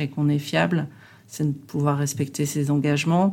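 A woman talks at a moderate pace in a very deep, low voice. The recording is very clean with a silent background. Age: 50s. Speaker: customer service director. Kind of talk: interview. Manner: halting.

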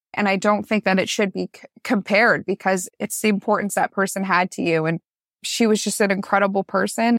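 In an ordinary speaking voice with a Canadian accent, a woman talks fairly quickly at medium pitch, recorded very cleanly against a silent background with a dry, close sound and no echo. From Canada, Newmarket, Ontario. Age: 20s. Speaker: school social worker. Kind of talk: interview testimony.

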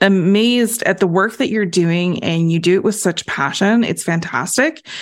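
Over a very clean, silent background, a woman with an ordinary speaking voice talks at a moderate pace and medium pitch with lively intonation. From Canada. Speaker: podcast host, accountant. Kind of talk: scripted introduction; interview.

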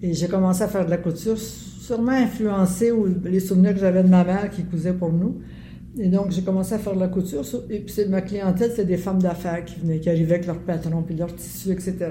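Speaking at a fairly quick pace, a woman with a Quebec accent holds a medium pitch and a fairly even intonation. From Quebec, Montreal (Verdun). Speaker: artist and former city councillor. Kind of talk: interview. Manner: halting.

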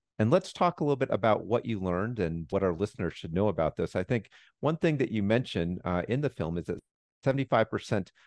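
Against a quiet background, a man with an unremarkable speaking voice and a fairly low pitch speaks with lively intonation. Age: 40s. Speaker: public health doctor and podcast host. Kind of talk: interview.

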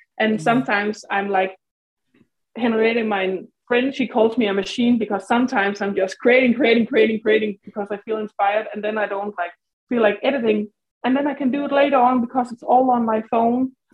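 A woman's plain, everyday voice, fairly high in pitch, fairly even in intonation, at a fairly quick pace. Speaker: nail artist. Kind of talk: interview, casual chat.

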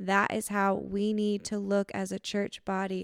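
A woman with an American accent and a normal speaking voice talks at a fairly slow pace and a fairly high pitch, the sound dry and close with no echo and the recording very clean over a silent background. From Lansing, Michigan. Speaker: youth pastor and podcast co-host. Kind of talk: testimony.

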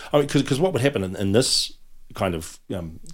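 A man speaks with a New Zealand accent on a very clean recording with a silent background. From New Zealand, Auckland (Otahuhu). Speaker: comedy writer and actor. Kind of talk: casual chat. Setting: studio.

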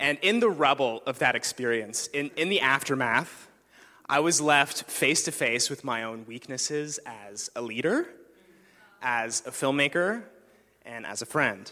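A man with an unremarkable speaking voice talks fairly slowly at a fairly high pitch, his intonation lively. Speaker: filmmaker and church apprentice. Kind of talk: sermon. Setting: stage with audience.

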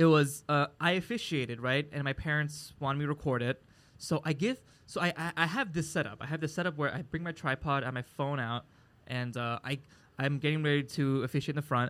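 A man with an American accent talks at a fairly quick pace. He has an unremarkable speaking voice and a fairly high pitch with ordinary variation. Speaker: comedian and podcast co-host. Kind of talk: casual chat. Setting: live recording at a market venue.

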